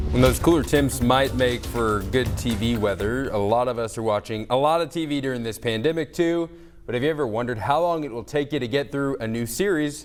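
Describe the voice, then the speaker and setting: Over music in the background, a man talks at a fairly quick pace with hardly any pauses, his medium pitch showing ordinary variation. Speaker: TV news reporter and anchor. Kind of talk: TV news reel.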